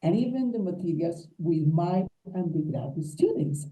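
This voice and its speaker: This somewhat breathy voice has a dark, mellow tone and a Colombian accent, with ordinary pitch variation. It moves at a moderate pace with audible room echo. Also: woman. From Colombia, Huila. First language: Spanish. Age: 60s. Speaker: English teacher. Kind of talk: conference talk.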